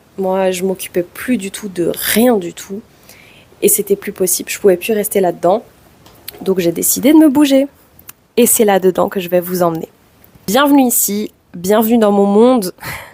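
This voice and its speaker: Music in the background behind a woman of medium pitch, at a moderate pace with long, frequent pauses and ordinary pitch variation. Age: 20s. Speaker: vlogger. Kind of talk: personal vlog testimony.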